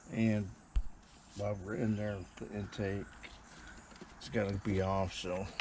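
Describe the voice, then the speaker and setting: A man mumbles in a fairly low pitch, fairly slowly, in a flat monotone, with long, frequent pauses and audible room echo. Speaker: home mechanic. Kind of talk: tutorial. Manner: mumbling.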